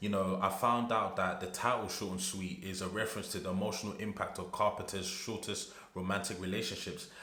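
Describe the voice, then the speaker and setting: A man with a British accent at a fairly low pitch, fairly quick and with hardly any pauses, monotone and flat, amid noticeable background noise and audible room echo. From UK. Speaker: music reaction youtuber. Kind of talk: casual reaction video.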